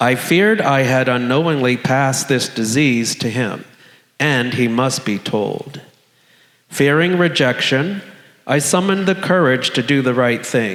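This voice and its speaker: With an American accent, a man talks at a fairly slow pace in a medium pitch, his intonation lively and the room echo audible. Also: very even loudness. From US South, South Florida. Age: 60s. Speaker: storyteller sharing a personal HIV story. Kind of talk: personal storytelling on stage, read from script.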